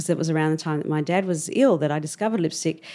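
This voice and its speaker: A woman with an Australian accent and a fairly low pitch is heard in a very clean recording with a silent background. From Australia, Melbourne. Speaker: cosmetics entrepreneur. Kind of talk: interview.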